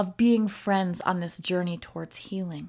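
A somewhat breathy woman at a medium pitch and moderate pace, in a very clean recording with a silent background. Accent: American. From US North, Wisconsin. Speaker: podcast host, recovery social worker. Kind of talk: solo podcast reflection.

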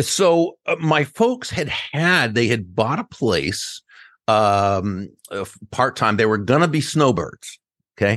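Against a quiet background, a man with an American accent and a medium pitch talks at a very slow pace, his pitch swinging very widely. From Massachusetts. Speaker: business author. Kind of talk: interview.

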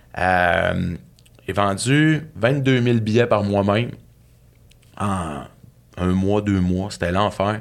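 This man's pitch is fairly low, and he speaks at a very slow pace with ordinary pitch variation. The recording is very clean, with a silent background. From Saguenay, Quebec. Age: 40s. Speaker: author and speaker. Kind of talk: casual interview, personal storytelling.

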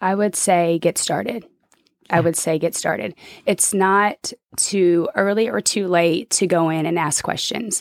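A plain, everyday voice with an American accent comes through at a fairly slow pace in a dry, close sound with no echo. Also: woman, fairly low pitch for a woman, ordinary pitch variation. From Oklahoma City, Oklahoma. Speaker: college basketball coach. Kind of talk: casual interview chat.

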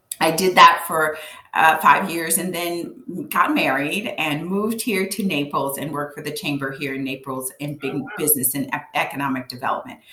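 Very deep, low female voice at a moderate pace, with ordinary pitch variation, big swings in loudness and noticeable background noise. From Louisiana, Cajun. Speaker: business coach. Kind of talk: interview. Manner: halting with fillers.

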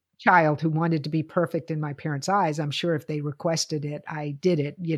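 With an American accent, a woman talks in a very deep, low voice with monotone, flat intonation. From US South, Lynchburg, Virginia. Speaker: podcast co-host. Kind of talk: casual chat.

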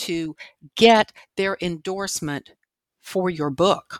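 A woman with an American accent speaks very slowly at a medium pitch with ordinary pitch variation. The recording is very clean, with a silent background and a dry, close sound with no echo. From Washington, D.C. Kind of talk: interview.

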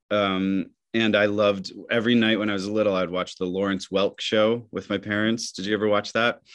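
A man with an American accent speaks at a fairly quick pace in a monotone, flat intonation. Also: fairly low pitch for a man. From Michigan. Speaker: theater actor. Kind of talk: interview.

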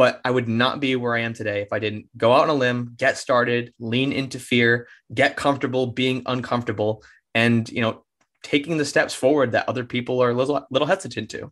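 A man has an unremarkable speaking voice, with fairly even intonation and a fairly quick pace. The background is quiet. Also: medium pitch for a man. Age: 20s. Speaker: serial entrepreneur. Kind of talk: interview. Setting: studio.

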